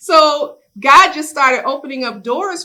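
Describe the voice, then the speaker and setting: Bright and sharp in tone, a woman's raised, projected voice swings very widely in pitch. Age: 60s. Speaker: business owner and community leader. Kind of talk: workshop sharing.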